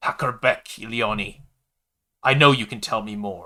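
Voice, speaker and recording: A man's put-on character voice, raspy and hissing, at medium pitch and a moderate pace. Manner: hissing, threatening.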